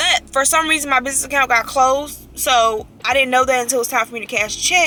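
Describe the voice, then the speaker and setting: A woman speaks in a raised, projected voice with a high pitch, talking very fast with hardly any pauses and fairly even intonation over noticeable background noise. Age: 20s. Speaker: vlogger and real estate agent. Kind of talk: casual vlog talk. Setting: in a car.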